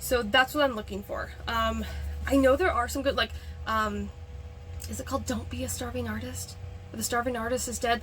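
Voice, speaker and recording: A woman talks at a fairly quick pace, broken by long, frequent pauses. Music plays in the background. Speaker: author and freelance editor. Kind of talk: casual vlog talk. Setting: filming in a backyard shed. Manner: fast.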